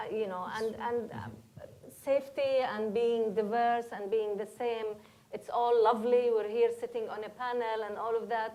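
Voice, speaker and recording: A woman with a Palestinian accent, fairly high in pitch, monotone and flat, at a moderate pace. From Palestine. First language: Arabic. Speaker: educator, panelist. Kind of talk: panel discussion.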